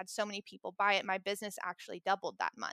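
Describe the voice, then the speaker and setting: A woman with a slight Southern US accent, bright, sharp and animated, at a very fast pace, in a dry, close sound with no echo. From US South, rural Tennessee. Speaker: mindset and embodiment coach. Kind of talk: casual interview chat. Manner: animated, laughs often.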